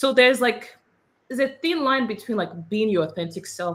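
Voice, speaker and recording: This woman speaks with a Nigerian accent and lively intonation. She talks very fast. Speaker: immigrant panelist, consultant. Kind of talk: panel discussion.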